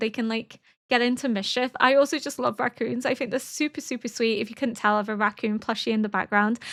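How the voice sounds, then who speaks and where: Over a very clean, silent background, a raised, projected voice with a bright, sharp tone moves at a fairly quick pace with ordinary pitch variation. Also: woman. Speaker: literature academic and reaction youtuber. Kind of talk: casual reaction commentary.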